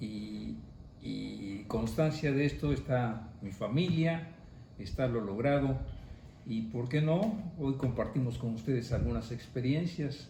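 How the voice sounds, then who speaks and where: Speaking at a very slow pace, a man has a dark, mellow tone, a somewhat breathy quality and lively intonation. Audible room echo surrounds his voice. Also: medium pitch for a man. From Mexico, Orizaba, Veracruz. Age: 70s. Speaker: parishioner giving testimony. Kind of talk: testimony. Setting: family home.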